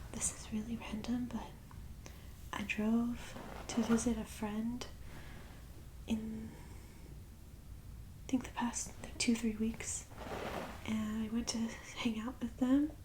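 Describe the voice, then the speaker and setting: Soft-spoken and gentle in tone, the speaker goes at a very slow pace with long, frequent pauses. Intonation stays monotone and flat over noticeable background noise. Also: woman, fairly high pitch for a woman. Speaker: ASMR creator / channel host. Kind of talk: ASMR whispered ramble to camera. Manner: soft-spoken, gentle, conversational.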